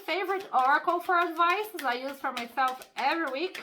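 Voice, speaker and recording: A woman projects a raised, high, bright and sharp voice with lively intonation. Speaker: tarot reader. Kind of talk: tarot reading. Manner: casual, conversational.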